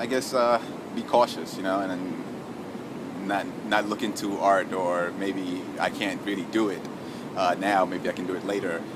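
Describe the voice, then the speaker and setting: A man speaks at a fairly low pitch with a New York accent, his intonation monotone and flat. The pace is fairly slow, and there is noticeable background noise. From New York City (Harlem, Bronx). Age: 20s. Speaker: shelter resident and charity runner. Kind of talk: personal testimony interview. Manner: halting, many fillers and repetitions.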